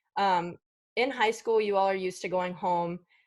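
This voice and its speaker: A woman speaks at a moderate pace in an unremarkable speaking voice, on a very clean recording with a silent background. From Virginia, Winchester. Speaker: student mentor. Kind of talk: presentation.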